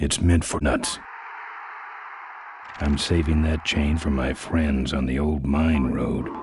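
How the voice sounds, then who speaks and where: Through clear background noise, a man does a put-on character voice with a very deep, low pitch, a fairly slow pace, and long, frequent pauses. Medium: video game. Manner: terse, deadpan.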